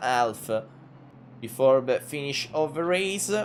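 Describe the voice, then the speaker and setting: A man's fairly high voice at a fairly slow pace, with a strong Italian accent. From Italy. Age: 20s. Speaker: sim racing commentator. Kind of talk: live commentary. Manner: halting, many filler sounds.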